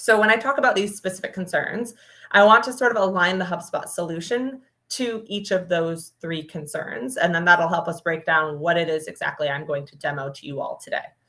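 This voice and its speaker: Speaking at a fairly quick pace, a woman with a fairly low pitch and a bright, sharp tone swings widely in loudness. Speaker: product marketing manager presenting a demo. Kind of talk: webinar presentation. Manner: fast.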